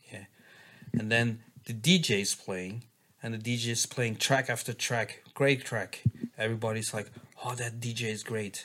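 Bright and sharp in tone, a man with a Flemish accent speaks fairly slowly at a medium pitch. His intonation stays fairly even, broken by long, frequent pauses. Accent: Belgian (Flemish) accent in English. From Belgium. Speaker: dance music producer and DJ. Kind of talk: casual chat. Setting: hotel room.

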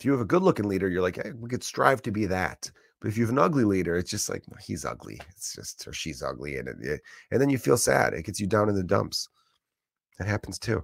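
A man with a fairly low pitch speaks at a very fast pace in an animated tone, with very wide pitch swings and vocal fry, in a very clean recording with a silent background and a dry, close sound with no echo. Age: 30s. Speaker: stand-up comedian and podcast host. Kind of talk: casual solo rant.

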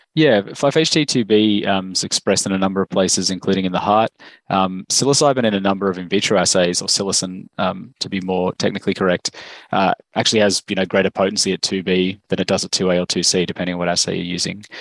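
A man with an Australian accent talks at a very fast pace in a very deep, low pitch. His pitch variation is ordinary, and the sound is dry and close with no echo. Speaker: medicinal chemist, biotech cofounder. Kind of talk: interview.

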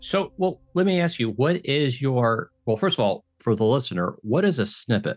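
Medium in pitch, a man speaks at a moderate pace with very wide pitch swings and hardly any pauses. His loudness stays very even. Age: 50s. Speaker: podcast host. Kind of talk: casual interview.

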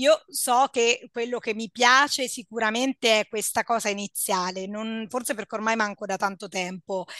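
A woman's fairly high, bright, sharp voice at a moderate pace, with fairly even intonation and hardly any pauses, in dry, close sound with no echo over a quiet background. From central Italy, Perugia. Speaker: psychologist. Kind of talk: casual chat.

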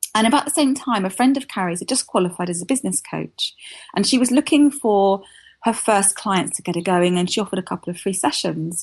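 Speaking very fast in a southern English accent, a woman uses medium pitch, lively intonation and a somewhat breathy delivery. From southern England. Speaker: copywriter and business founder. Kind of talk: interview.

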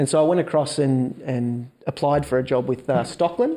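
In a very clean recording with a silent background, a man with an Australian accent speaks at a moderate pace, his tone dark and mellow and his intonation fairly even. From Melbourne, Australia. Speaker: entrepreneur.

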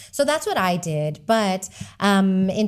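In a plain, everyday voice, a woman with an American accent speaks at medium pitch with lively intonation. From Texas. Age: 40s. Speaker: author and community founder. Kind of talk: casual interview chat.

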